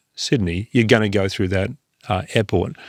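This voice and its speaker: A man's fairly low voice in an Australian accent, with ordinary pitch variation and a dry, close sound with no echo. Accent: Australian, sometimes taken for British. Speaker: investment firm founder and CEO. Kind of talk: podcast interview. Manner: hesitant, many fillers and repeated words.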